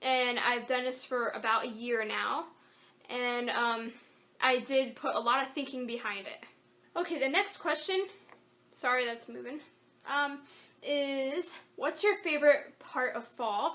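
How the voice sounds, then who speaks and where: In a raised, projected voice, a woman speaks high and fairly slowly with a bright, sharp tone, ordinary pitch variation, and long, frequent pauses. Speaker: craft YouTuber. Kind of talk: Q&A vlog. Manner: casual, hesitant with fillers.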